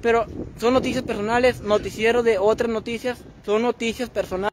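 The words come at a very fast pace in a monotone, flat delivery. The sound is dry with no echo, and background noise is noticeable. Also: man. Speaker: livestreamer. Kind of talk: casual livestream chat. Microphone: phone near.

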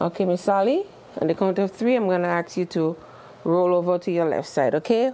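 Her volume holds very even as a woman speaks at fairly low pitch, with a dark, mellow tone and ordinary pitch variation. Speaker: caregiver instructor. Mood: calm, reassuring. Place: classroom.

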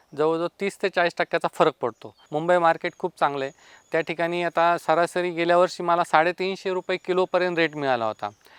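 Recorded dry and close with no echo against a quiet background, a man speaks at a high pitch with fairly even intonation. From Maharashtra, Pune district (Ambegaon). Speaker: farmer. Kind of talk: interview testimony.

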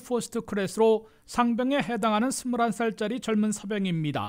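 A man's high-pitched voice at a moderate pace with ordinary pitch variation, on a very clean recording with a silent background. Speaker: news reporter. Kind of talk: news reading. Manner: formal.

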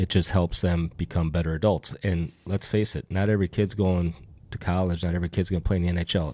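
In a quiet setting, a man with an American accent talks fairly quickly in a very deep, low voice with a dark, mellow tone and fairly even intonation. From Minnesota. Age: 50s. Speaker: hockey newspaper publisher. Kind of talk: casual chat. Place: studio. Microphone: studio mic.

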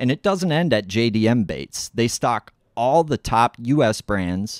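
A man speaks in a plain, everyday voice at medium pitch and a moderate pace. The sound is dry and close with no echo, on a very clean recording with a silent background. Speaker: podcast host. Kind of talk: sponsor ad read.

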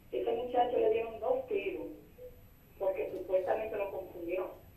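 A woman at a moderate pace, with fairly high pitch, ordinary pitch variation, a dark, mellow tone and strong room echo

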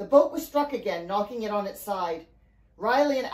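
Intonation is lively as the speaker is reading aloud in a natural voice.

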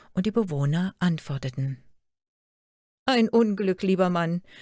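On a very clean recording with a silent background, a woman speaks at a fairly slow pace, somewhat breathy, with very wide pitch swings. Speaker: storyteller reading a fairy tale aloud. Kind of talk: fairy tale telling. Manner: storytelling narration, measured and expressive.

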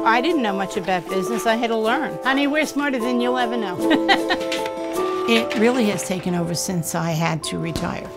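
A woman speaks at a fairly quick pace. Loud music plays in the background. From New York. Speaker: small business owner. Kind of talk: interview answer. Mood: warm, candid, upbeat. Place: home room. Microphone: lapel.

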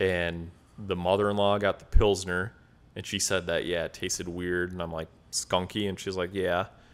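The speaker has an American accent and a monotone, flat intonation. The pace is moderate. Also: man, very deep, low pitch for a man. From Wisconsin. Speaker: podcast co-host. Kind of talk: casual chat. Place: home room. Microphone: studio mic.

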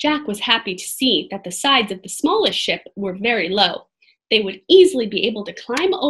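Quiet surroundings behind a natural reading voice

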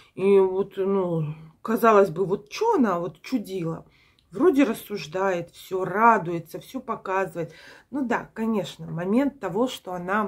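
A woman talks at a very slow pace with ordinary pitch variation against a quiet background. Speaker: vlogger. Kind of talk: casual vlog chat. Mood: reflective, mildly puzzled. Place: home room. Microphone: phone near.

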